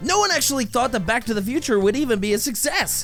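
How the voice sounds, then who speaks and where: Music plays in the background under an energetic, playful delivery at a fairly quick pace. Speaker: voice actor. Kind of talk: comedic movie review narration.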